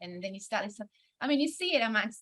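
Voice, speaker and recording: A bright, sharp tone with an Australian accent and ordinary pitch variation. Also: woman. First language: Hungarian. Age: 30s. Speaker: singer-songwriter and music producer. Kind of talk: conference panel interview.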